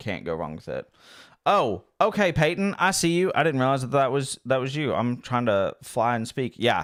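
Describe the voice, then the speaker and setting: A man speaks at a moderate pace in an animated tone, his pitch swinging very widely. The recording is very clean, with a silent background. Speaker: livestreamer playing drone simulator. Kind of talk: live gaming stream chat.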